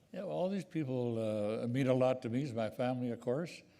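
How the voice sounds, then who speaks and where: A man's dark, mellow tone at a fairly quick pace, with audible room echo. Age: 80s+. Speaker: award recipient, businessman. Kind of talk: onstage interview. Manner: halting.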